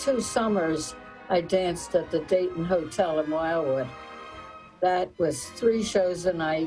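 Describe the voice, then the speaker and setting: Music plays in the background as a woman speaks in a Philadelphia accent. Her pitch is fairly low, her intonation lively and her pace fairly slow. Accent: Philadelphia-area American. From South Jersey, Camden. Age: 80s+. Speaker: retired dance teacher. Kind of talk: interview.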